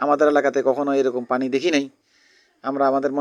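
A male voice in a quiet background. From Bangladesh, Cumilla (Chauddagram). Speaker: vlogger. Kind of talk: vlog. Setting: outdoors.

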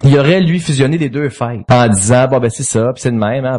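At a fairly quick pace, a man with a Quebec accent speaks in a somewhat breathy, fairly high voice with ordinary pitch variation. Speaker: comedy writer, former business executive. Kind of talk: casual chat. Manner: jokey.

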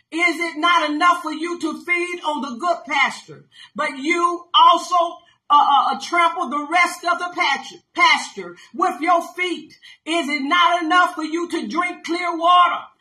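Projecting a raised voice at an extremely high pitch, a woman speaks at a fairly slow pace with fairly even intonation against a quiet background. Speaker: pastor. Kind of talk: sermon with scripture reading and commentary. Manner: emphatic, call-and-response preaching style. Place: home room. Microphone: phone near.

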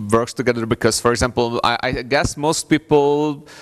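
Pitch varies in an ordinary way as a man talks at a moderate pace. The background is quiet. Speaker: conference presenter. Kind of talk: conference talk. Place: hall.

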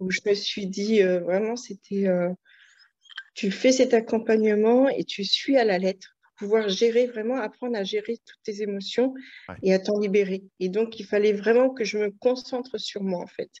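A woman's fairly slow, fairly even delivery in a dry sound with no echo. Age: 40s. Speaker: client giving a weight-loss testimonial. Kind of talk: testimony.

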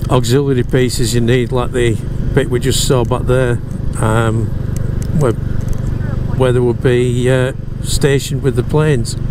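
A fairly slow delivery, dry with no echo, over noticeable background noise. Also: man. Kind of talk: casual moto-vlog commentary. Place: motorbike. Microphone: helmet.

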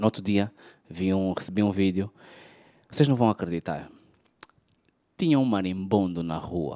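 A man speaks with a very deep, low pitch and ordinary pitch variation, leaving long, frequent pauses. His tone is dark and mellow, and the sound is dry with no echo against a quiet background. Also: moderate pace. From Angola. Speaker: stand-up comedian. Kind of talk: stand-up comedy. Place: stage. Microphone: handheld.

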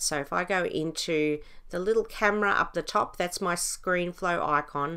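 The voice has a bright, sharp tone and moves at a moderate pace. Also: woman.

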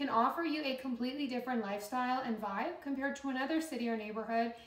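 A woman with high pitch talks at a fairly quick pace with ordinary pitch variation, and audible room echo is present. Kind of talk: casual vlog chat. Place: home room.

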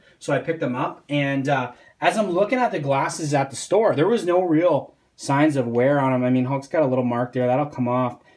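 Audible room echo surrounds the voice. It moves at a moderate pace with ordinary pitch variation. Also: man.

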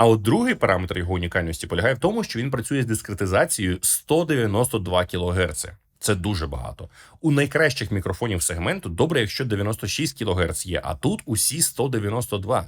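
On a very clean recording with a silent background, a man speaks in a fairly low, somewhat breathy voice with very wide pitch swings. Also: moderate pace. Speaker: tech reviewer. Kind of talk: product review.

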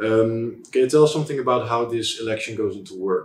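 A man with a Dutch accent, light background noise and audible room echo. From Netherlands. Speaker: student interviewer. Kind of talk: interview. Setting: embassy office. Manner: halting. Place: meeting room.

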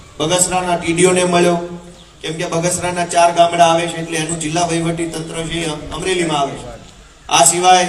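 A man speaks in a high voice. Noticeable background noise and audible room echo surround him. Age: 30s. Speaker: politician. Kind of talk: political speech. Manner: animated.

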